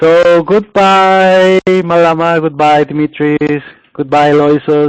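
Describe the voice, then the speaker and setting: A man with a Colombian accent, fairly high-pitched, very slow, with fairly even intonation. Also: dry, close sound with no echo. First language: Spanish. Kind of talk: casual goodbye.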